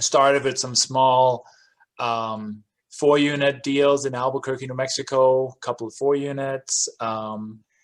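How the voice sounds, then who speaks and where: In a Danish accent, a man at a medium pitch speaks at a fairly slow pace with monotone, flat intonation. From Denmark. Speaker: real estate investor. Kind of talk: interview.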